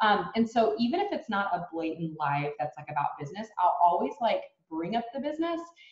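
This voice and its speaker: A medium-pitched woman, fairly quick, her pitch swinging very widely. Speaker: network marketing distributor. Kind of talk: casual talk on a video call training. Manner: fast; animated.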